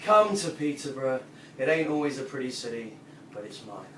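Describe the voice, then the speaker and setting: A man's fairly high voice moves with lively intonation amid noticeable background noise. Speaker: performance poet; former English teacher. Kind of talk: spoken word poetry performance. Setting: live audience at a pub venue.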